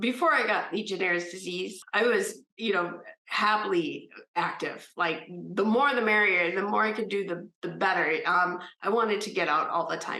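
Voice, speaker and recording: A woman with a slight Minnesota accent at a moderate pace and medium pitch, with ordinary pitch variation and audible room echo. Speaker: disease survivor. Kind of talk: testimony. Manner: hesitant, many fillers.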